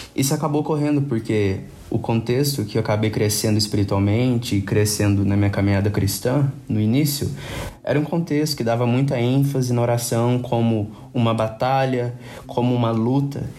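Heard with audible room echo, a man of medium pitch speaks at a moderate pace with very even loudness and ordinary pitch variation. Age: 20s. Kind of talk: casual chat about faith.

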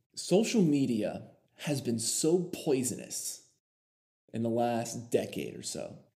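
Very slow speech with long, frequent pauses and big swings in loudness comes through with audible room echo. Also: man. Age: 20s. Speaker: podcast host. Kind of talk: casual monologue.

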